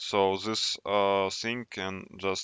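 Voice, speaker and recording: The man's pitch is fairly low. He speaks with monotone, flat intonation. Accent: non-native. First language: not English. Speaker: tech YouTuber. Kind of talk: casual tutorial. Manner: halting.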